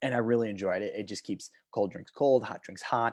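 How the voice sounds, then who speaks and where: Loud and animated, a man speaks at a medium pitch with ordinary pitch variation over a quiet background. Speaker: talk show host. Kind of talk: casual chat. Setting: home video stream.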